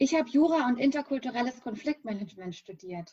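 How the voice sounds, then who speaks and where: A woman with a somewhat breathy voice talks at a moderate speed. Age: 30s. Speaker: business founder. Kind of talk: interview.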